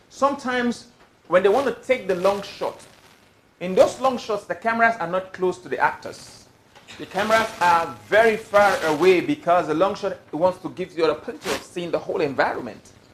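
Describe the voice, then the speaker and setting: With big swings in loudness, a man talks fairly quickly at a high pitch against noticeable background noise. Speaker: film director. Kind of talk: talk to a live audience.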